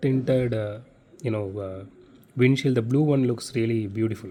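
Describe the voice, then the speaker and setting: The speaker has a Tamil accent and a dark, mellow tone. The pace is moderate. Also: man. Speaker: diecast collector YouTuber. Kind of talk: unboxing review. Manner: casual, many fillers.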